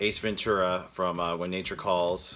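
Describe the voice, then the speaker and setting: Music is audible in the background. The talking proceeds at a fairly slow pace. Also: man. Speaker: custom toy maker. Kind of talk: tutorial narration. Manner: monotone.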